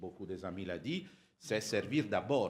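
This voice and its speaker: Here a man speaks with an Italian accent. His pitch is fairly low, with ordinary variation. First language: Italian (speaking French). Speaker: audience member at Rotary conference. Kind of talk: audience question. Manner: halting.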